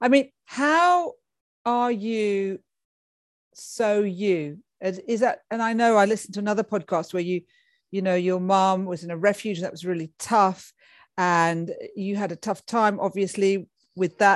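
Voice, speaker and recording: A woman's medium-pitched, animated voice with ordinary pitch variation, fairly slow with long, frequent pauses, on a very clean recording with a silent background. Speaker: podcast host. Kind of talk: casual interview chat. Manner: animated, effusive.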